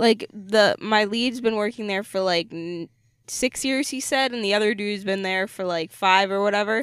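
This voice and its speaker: A woman speaks at a moderate pace and medium pitch with ordinary pitch variation. It is a normal speaking voice. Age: 20s. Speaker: podcast co-host. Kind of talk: casual chat. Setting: in a parked car.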